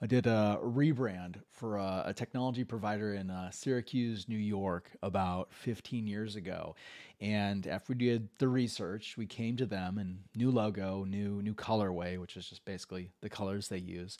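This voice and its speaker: A man's fairly low voice at a moderate pace, fairly even in intonation with hardly any pauses, against a quiet background. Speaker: podcast host and executive coach; podcast host, executive coach. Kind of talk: casual interview. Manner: halting. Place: home room. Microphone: studio mic.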